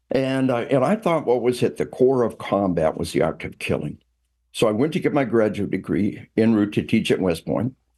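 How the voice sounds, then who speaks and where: Against a quiet background, a man with an American accent speaks at a medium pitch and moderate pace, his dark, mellow voice showing vocal fry and very wide pitch swings. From US South. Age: 60s. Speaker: retired army officer and trainer. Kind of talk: interview. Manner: many fillers and repetitions.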